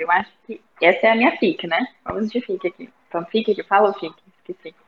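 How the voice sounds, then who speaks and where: A woman speaks in a normal speaking voice at a fairly quick pace. Her pitch is fairly high, with ordinary variation. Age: 20s. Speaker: book club member, university student. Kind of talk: casual chat. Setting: video call.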